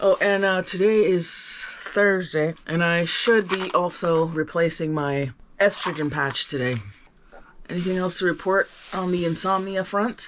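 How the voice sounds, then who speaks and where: Over noticeable background noise, a woman talks at a fairly slow pace in a medium pitch with ordinary pitch variation. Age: 50s. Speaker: vlogger. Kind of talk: casual vlog monologue.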